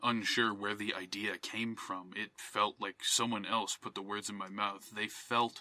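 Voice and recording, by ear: Someone reading aloud in a natural voice, intonation fairly even.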